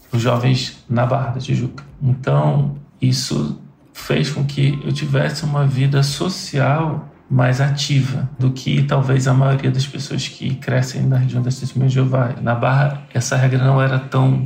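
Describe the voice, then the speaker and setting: Over music in the background, the voice moves at a fairly slow pace with fairly even intonation and very even loudness. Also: man, medium pitch for a man. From Rio de Janeiro, Brazil. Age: 40s. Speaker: tech worker, former Jehovah's Witness. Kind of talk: personal testimony. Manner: halting.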